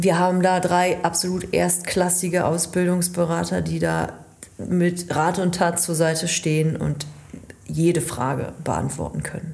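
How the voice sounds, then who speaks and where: In a room with audible echo and noticeable background noise, a woman speaks at a fairly low pitch and a fairly slow pace, with monotone, flat intonation. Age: 30s. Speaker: chamber of commerce training advisor. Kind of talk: casual chat.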